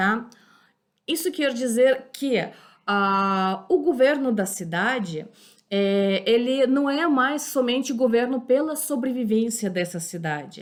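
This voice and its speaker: A high-pitched woman speaks at a very slow pace with lively intonation. The recording is very clean, with a silent background. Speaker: history teacher. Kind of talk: lecture. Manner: halting, many fillers.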